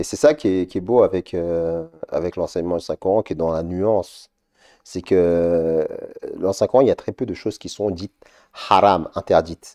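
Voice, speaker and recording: Recorded dry and close with no echo against a quiet background, a man with a very deep, low pitch and dark, mellow tone speaks with long, frequent pauses. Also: ordinary pitch variation, moderate pace. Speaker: religious TV show panelist. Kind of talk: live religious Q&A show. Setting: studio.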